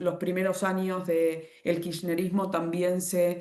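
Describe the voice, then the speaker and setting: A woman's fairly low-pitched voice in a monotone, flat intonation. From Argentina. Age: 40s. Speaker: economist. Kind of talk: online presentation with slides. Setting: video call. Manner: halting, self-correcting.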